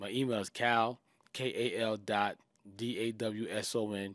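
Speaking with a New York accent, a man keeps a fairly low pitch and monotone, flat intonation on a very clean recording with a silent background. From Queens, New York. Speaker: music manager. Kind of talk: casual interview chat.

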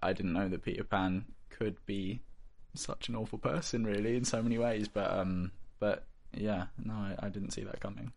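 This man speaks with a West Country accent. His pitch is fairly low. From southwest England, Bristol. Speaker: actor. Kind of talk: interview. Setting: studio.

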